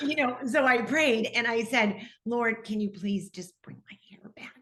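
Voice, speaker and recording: The speaker has a Midwestern US accent, ordinary pitch variation, and big swings in loudness. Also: woman. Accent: General American, Midwest. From US Midwest, Detroit, Michigan. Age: 60s. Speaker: TV personality. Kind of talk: interview testimony.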